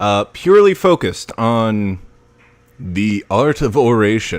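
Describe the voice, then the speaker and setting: A man's medium-pitched voice, very slow, with lively intonation. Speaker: aspiring voice-over narrator. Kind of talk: casual livestream talk. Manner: relaxed, conversational.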